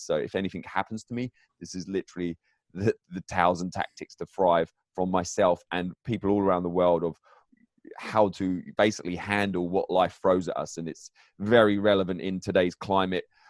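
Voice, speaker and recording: A man with a very deep, low voice and an English accent talks at a fairly quick pace in a flat monotone, recorded dry and close with no echo on a very clean track with a silent background. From England. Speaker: author and mindset coach. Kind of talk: interview. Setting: home basement.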